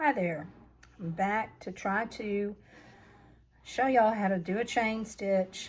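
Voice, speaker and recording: A somewhat breathy woman speaks at a very slow pace. Her pitch is medium and her intonation fairly even. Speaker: crochet channel host. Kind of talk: tutorial. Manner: casual.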